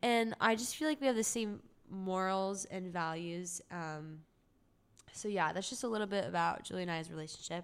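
A woman with a normal speaking voice and an American accent talks at a moderate pace and medium pitch in a very clean recording with a silent background. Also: ordinary pitch variation. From Southern California, Orange County. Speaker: music student. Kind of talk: casual chat.

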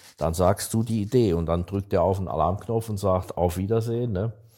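With fairly even intonation, this man talks in a dark, mellow tone. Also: very clean recording, silent background. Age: 60s. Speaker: startup investor. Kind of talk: casual chat.

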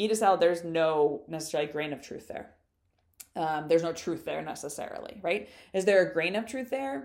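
This woman talks at a fairly quick pace. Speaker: podcast host and social media business owner. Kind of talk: solo podcast monologue. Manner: fast talker.

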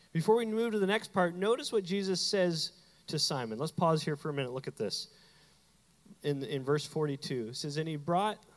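A man with a high-pitched voice speaks at a moderate pace, his tone animated and his intonation lively. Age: 30s. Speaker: pastor. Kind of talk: sermon.

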